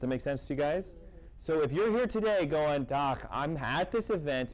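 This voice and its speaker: A man's fairly high voice moves with lively intonation. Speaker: chiropractor / natural health doctor. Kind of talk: health seminar talk to live audience. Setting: event hall with audience. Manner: fast; animated.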